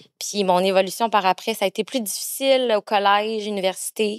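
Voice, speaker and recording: In a Quebec accent, a woman speaks at a fairly slow pace and medium pitch, captured in a very clean recording with a silent background and a dry, close sound with no echo. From Quebec, Granby. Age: 30s. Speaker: adoptee sharing her story. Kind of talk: podcast interview, personal testimony.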